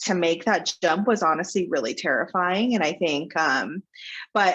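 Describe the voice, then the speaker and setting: At a moderate pace, a woman speaks in an ordinary speaking voice, fairly low in pitch. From Texas, Plano (Dallas suburb). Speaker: talent agency founder. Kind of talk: interview.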